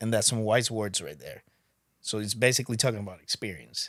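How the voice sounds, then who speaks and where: Talking with a Spanish accent at a very fast pace, a man keeps a fairly low pitch and fairly even intonation. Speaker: podcast guest. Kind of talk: casual chat.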